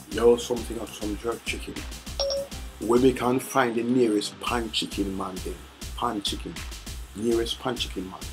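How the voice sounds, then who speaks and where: Over music in the background, a man with a Jamaican accent talks at a moderate pace, with big swings in loudness and long, frequent pauses. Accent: Jamaican patois. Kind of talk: casual talk to phone assistant. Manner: playful.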